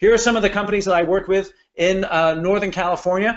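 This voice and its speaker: Speaking at a very fast pace, a man uses a high pitch with ordinary pitch variation. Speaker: business coach. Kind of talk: webinar presentation. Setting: online webinar. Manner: animated.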